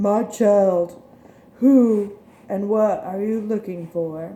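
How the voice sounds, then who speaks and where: Someone speaks at a very slow pace. The voice is a put-on character voice. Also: female-sounding voice, medium pitch for a woman. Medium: read story.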